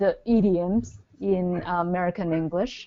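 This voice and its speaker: A fairly low-pitched woman's voice at a fairly slow pace, with a Chinese accent. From China. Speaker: business speaker. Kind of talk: webinar presentation. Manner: halting.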